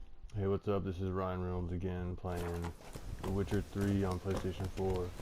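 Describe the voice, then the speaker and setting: A man mumbles at a fairly slow pace in a very deep, low voice with monotone, flat intonation. Audible room echo surrounds him. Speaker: gamer streamer. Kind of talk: casual commentary over gameplay. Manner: mumbling; louder than before.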